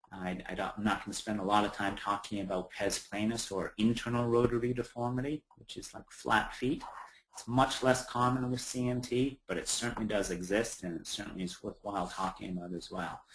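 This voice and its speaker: A man with a Canadian accent, fairly low pitch, ordinary pitch variation and a fairly quick pace. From Ontario, Canada. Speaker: prosthetist and orthotist. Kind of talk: webinar presentation. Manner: casual, hesitant with fillers.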